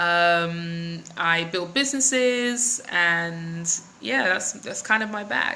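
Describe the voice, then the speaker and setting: With a London accent, a woman speaks at a fairly low pitch and a very slow pace, her intonation lively amid audible room echo. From London, England (west, near Ealing). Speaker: business coach and vlogger. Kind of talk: live stream chat with viewers. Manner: casual, many fillers.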